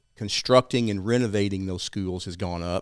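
On a very clean recording with a silent background, a man speaks. He has an East Texas accent and fairly even intonation. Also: dry, close sound with no echo. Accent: East Texas Southern. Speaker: financial advisor and civic group founder. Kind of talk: interview discussing local policy.

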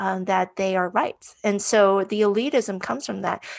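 A woman with an unremarkable speaking voice talks at a medium pitch. Her pace is moderate and her pitch variation ordinary. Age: 40s. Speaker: cybersecurity professional. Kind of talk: interview.

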